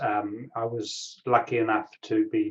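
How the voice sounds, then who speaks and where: The speaker is a man. He talks in a New Zealand accent. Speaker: tech industry analyst and angel investor. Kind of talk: interview. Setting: video call.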